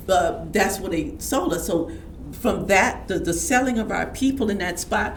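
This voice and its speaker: A woman's medium-pitched voice at a moderate pace, full of very wide pitch swings, with audible room echo and noticeable background noise. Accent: American. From Houston, Texas. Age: 70s. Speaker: community elder and healer. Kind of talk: interview storytelling. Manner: halting, with frequent restarts.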